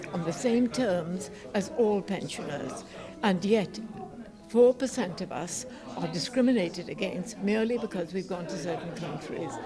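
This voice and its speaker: A woman speaks at a moderate pace in a medium pitch, her intonation lively, with music playing in the background. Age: 80s+. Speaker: war veteran; pensioner. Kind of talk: interview answer.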